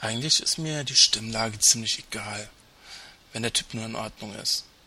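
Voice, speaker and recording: The speaker is a man. Ordinary variation shows in his pitch. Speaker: podcast co-host. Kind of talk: scripted commentary segment. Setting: Skype call with webcam.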